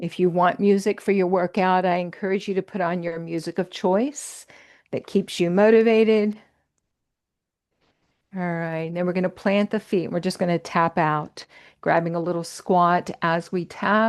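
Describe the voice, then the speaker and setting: An unremarkable speaking voice from a woman, medium in pitch, with fairly even intonation, a moderate pace and a quiet background. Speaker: fitness and yoga instructor. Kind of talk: guided workout class instruction. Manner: encouraging, casual.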